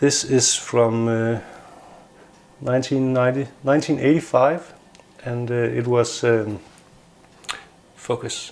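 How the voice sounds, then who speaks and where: Through noticeable background noise, a man with a non-native accent and a medium pitch speaks very slowly with fairly even intonation and long, frequent pauses. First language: not English. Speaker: tech hobbyist YouTuber. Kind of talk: casual product review. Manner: hesitant, many filler sounds.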